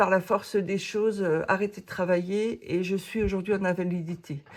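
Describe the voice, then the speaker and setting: Fairly even intonation shapes a woman's medium-pitched speech. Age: 60s. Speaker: coloring hobby YouTuber. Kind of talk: casual Q&A monologue. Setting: home office. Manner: hesitant, many fillers.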